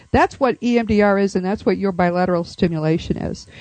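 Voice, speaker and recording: Against a quiet background, a woman talks at a fairly quick pace with ordinary pitch variation. Hers is an unremarkable speaking voice. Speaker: radio host. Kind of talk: radio interview with scripted intro.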